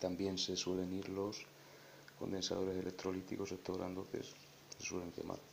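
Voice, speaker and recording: A man's very deep, low voice, monotone and flat, at a moderate pace with long, frequent pauses. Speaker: electronics hobbyist. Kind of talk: tutorial explanation.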